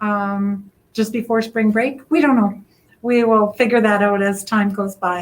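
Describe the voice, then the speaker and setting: The pace is fairly slow. It is an ordinary speaking voice. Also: woman, fairly high pitch for a woman, fairly even intonation. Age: 60s. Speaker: literacy project organizer. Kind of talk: interview.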